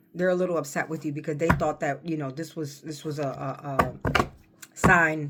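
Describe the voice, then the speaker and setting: The pace is moderate. Noticeable background noise runs under the voice. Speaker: tarot reader. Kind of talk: tarot reading. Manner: halting.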